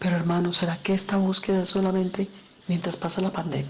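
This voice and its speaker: Speaking at a fairly quick pace with a fairly low pitch, a woman is heard amid audible room echo. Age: 60s. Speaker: pastor. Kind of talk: sermon.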